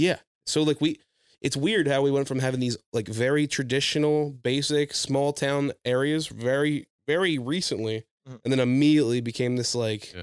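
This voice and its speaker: A man with an American accent speaks in a normal speaking voice at a moderate pace, fairly high pitch and ordinary pitch variation. The sound is dry and close, with no echo. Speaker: podcast host and aspiring stand-up comedian. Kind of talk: casual comedic chat.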